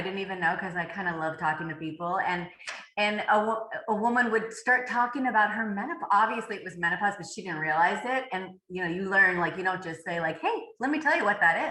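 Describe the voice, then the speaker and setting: Audible room echo accompanies a woman speaking at a fairly quick pace, medium in pitch, with ordinary pitch variation. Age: 60s. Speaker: author and fitness coach. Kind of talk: podcast interview. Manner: halting.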